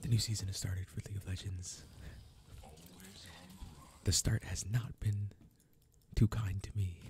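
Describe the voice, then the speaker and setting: Soft-spoken and relaxed in tone, the voice moves at a moderate pace over light background noise. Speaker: gaming channel host. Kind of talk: casual gameplay commentary to camera. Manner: soft-spoken, relaxed. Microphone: studio mic.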